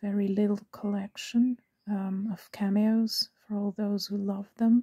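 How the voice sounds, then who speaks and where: A very slow voice with a non-native accent in a very clean recording with a silent background. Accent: non-native English speaker. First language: Italian and German. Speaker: cameo collector. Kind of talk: casual talk to camera. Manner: hesitant, many fillers.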